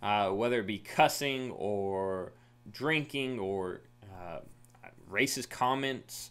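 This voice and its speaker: Here a man talks with an American accent. His pitch varies in an ordinary way. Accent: Southern, stronger around family. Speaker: youth minister. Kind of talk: recorded Bible lesson for youth.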